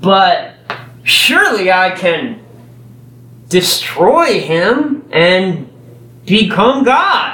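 A man with an American accent speaks in a raised, projected voice with very wide pitch swings. Audible room echo and noticeable background noise fill the recording. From Texas. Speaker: preacher. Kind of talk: sermon. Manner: halting.

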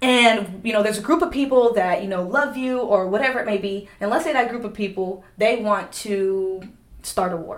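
A woman speaks in an animated tone at a fairly high pitch. Noticeable background noise and audible room echo surround her voice. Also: ordinary pitch variation, moderate pace. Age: 20s. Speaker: podcast guest sharing testimony. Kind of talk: casual chat.

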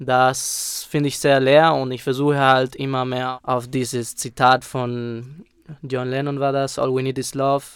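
Speaking in a monotone, flat intonation, a man keeps a medium pitch and a fairly slow pace. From Spain. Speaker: rapper. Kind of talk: interview.

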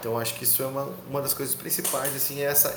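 This man speaks very fast at a medium pitch, with ordinary pitch variation. There is noticeable background noise and audible room echo. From Rio Grande do Sul, Brazil (Canoas). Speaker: rock musician. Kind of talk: podcast interview.

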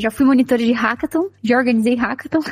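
At a moderate pace, a woman with a high pitch and fairly even intonation is heard in a dry, close sound with no echo, against noticeable background noise. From Minas Gerais, Brazil. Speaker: podcast co-host, tech professional. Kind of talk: casual chat.

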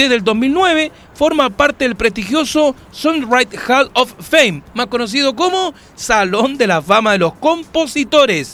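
A man speaks at an extremely high pitch with an animated tone and lively intonation. Noticeable background noise runs behind him. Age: 40s. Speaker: radio host. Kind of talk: casual chat.

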